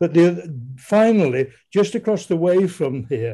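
In a Yorkshire accent, a man speaks at a fairly slow pace with a dark, mellow tone. The background is quiet. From Leeds, Yorkshire. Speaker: audience member. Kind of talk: reminiscence. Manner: halting.

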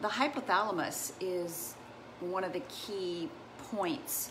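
A woman's voice with ordinary pitch variation and noticeable background noise. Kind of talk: casual educational livestream talk. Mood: warm, enthusiastic. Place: home room. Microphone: earbuds.

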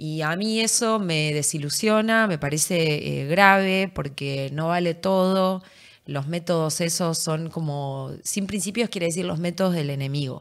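A woman at a fairly slow pace and fairly low pitch, with ordinary pitch variation and a quiet background. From Argentina, Entre Ríos; Argentina. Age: 30s. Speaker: politician. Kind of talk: interview. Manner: animated. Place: studio. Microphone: studio mic.

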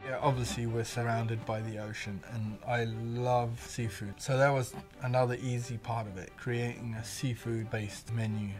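Clear music plays in the background. The speech is monotone, flat in intonation, at a moderate pace. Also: man, hardly any pauses. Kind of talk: interview answer. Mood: relaxed, warm.

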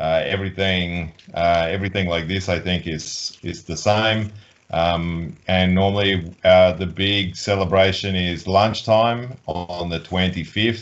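With an Australian accent, a man speaks very slowly in a very deep, low voice, his intonation fairly even. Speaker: volleyball coach. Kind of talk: interview. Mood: relaxed, friendly. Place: office.

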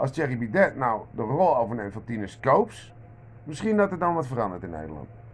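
The speaker talks at a fairly quick pace with very wide pitch swings. Vocal fry runs through the voice. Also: man, medium pitch for a man. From Netherlands. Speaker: vlogger. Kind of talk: monologue rant. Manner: halting, many repeated words. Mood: irritated, ranting. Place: kitchen. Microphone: phone near.

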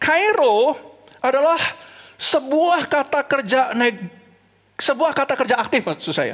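With an animated tone, the speaker talks at a fairly slow pace over a quiet background. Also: man, high pitch for a man. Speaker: preacher. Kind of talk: sermon delivered online to a church congregation. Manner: animated, earnest preaching that switches between Indonesian and English; rhetorical questions and repeated emphasis. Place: stage. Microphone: headset.

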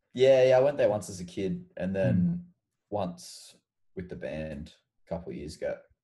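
A man with a very deep, low voice and an Australian accent, dark and mellow in tone and somewhat breathy, with very wide pitch swings and big jumps in loudness, at a moderate pace over a quiet background. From Queensland, Australia (Mackay, Sunshine Coast). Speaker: rock musician. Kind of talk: casual chat. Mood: relaxed, friendly chat. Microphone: video call.

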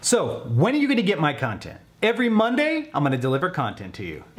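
Very wide pitch swings mark the man's speech. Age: 40s. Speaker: weight-loss vlogger. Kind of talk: vlog monologue. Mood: upbeat, encouraging. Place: home room.

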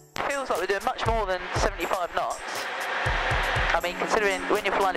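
Over music in the background, a man talks at a very fast pace with ordinary pitch variation, the sound dry with no echo. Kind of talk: casual vlog chat. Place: plane. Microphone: headset.

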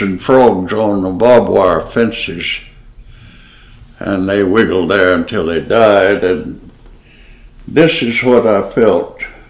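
With an American accent, a man speaks at a very slow pace in a fairly low pitch with ordinary pitch variation. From Deep South, USA. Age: 80s+. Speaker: painter, war veteran, retired geographer. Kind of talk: interview answer. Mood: reflective, reminiscing. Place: home room.

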